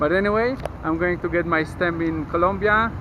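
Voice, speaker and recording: With a Polish accent, a man with a high pitch talks at a fairly quick pace and with lively intonation, amid noticeable background noise and audible room echo. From Poland, Kraków. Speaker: travel vlogger. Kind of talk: travel vlog.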